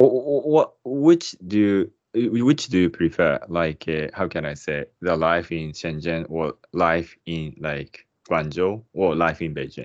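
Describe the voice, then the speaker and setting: Against a quiet background, a man with a Japanese accent speaks very slowly in a very deep, low voice with lively intonation. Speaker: podcast host. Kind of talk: casual interview. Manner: hesitant, searching for words.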